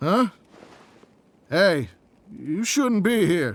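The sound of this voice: This man uses a put-on character voice pitched high, with big pitch swings. He speaks at a very slow pace.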